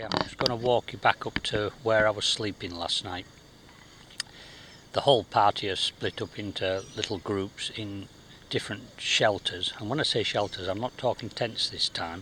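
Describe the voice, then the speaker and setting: A man speaks at a moderate pace, his fairly low pitch varying in an ordinary way. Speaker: travel vlogger on survival course. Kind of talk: casual vlog narration. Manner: quiet, hushed.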